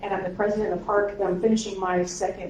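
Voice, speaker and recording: Audible room echo along with noticeable background noise. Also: woman. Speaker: pastor and council president. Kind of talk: meeting welcome address. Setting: in-person meeting in church space, audience present. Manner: fast when excited.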